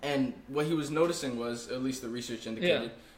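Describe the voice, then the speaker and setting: A man talks at a very fast pace in a fairly high pitch with ordinary pitch variation. Audible room echo and noticeable background noise surround him. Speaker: podcast host, college student. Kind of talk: casual chat. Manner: stuttering at times.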